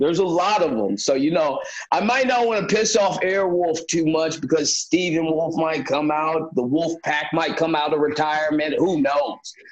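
In an American accent, a man with a fairly high pitch talks in an animated tone at a moderate pace, using ordinary pitch variation. Noticeable background noise and audible room echo fill the recording. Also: very even loudness. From Minnesota. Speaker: professional wrestler. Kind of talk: interview.

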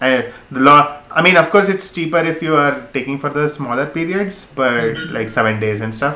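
At a fairly quick pace, a man with a fairly high pitch and ordinary pitch variation speaks over noticeable background noise. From India, Mysore. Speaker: travel YouTuber. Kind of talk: casual chat. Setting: video call. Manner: halting.

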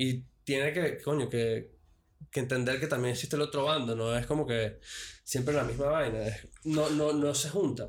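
A somewhat breathy voice moves at a moderate pace with very even loudness, in a very clean recording with a silent background. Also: man, fairly high pitch for a man, fairly even intonation. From Venezuela. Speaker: podcast guest. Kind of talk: casual chat. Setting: studio.

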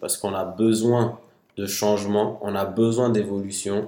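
A man speaks at a fairly slow pace with fairly even intonation and a medium pitch. His is a normal speaking voice. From Mali. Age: 20s. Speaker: security analyst and law student. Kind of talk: casual discussion.

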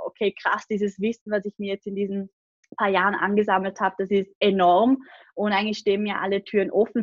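A plain, everyday voice from a woman, fairly high in pitch, at a fairly quick pace, with a dry, close sound and no echo. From Austria, Vorarlberg (Lake Constance). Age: 20s. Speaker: online business coach and agency owner. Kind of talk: podcast interview.

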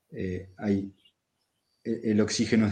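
The man's fairly low voice stays monotone, with flat intonation throughout. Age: 40s. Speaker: rural settler, permaculture producer. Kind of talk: casual interview.

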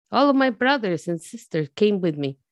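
A woman speaks with a Spanish accent. The recording is very clean, with a silent background and a dry, close sound with no echo. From Mexico, Jalisco. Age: 40s. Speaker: immigrant storyteller. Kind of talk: personal testimony.

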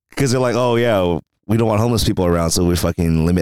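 This man's intonation is lively. He talks very fast. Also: dry, close sound with no echo. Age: 30s. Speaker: podcast co-host. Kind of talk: casual chat. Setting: in person recording.

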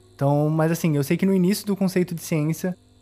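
This man has a dark, mellow tone and a high pitch. He talks at a very fast pace. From Rio de Janeiro, Brazil. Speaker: podcast host. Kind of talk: casual podcast chat.

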